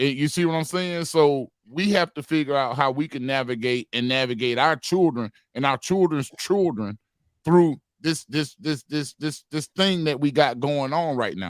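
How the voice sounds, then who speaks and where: The sound is dry and close with no echo as a man with a fairly high pitch and ordinary pitch variation speaks at a moderate pace. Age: 40s. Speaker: panelist. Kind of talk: heated debate. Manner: animated.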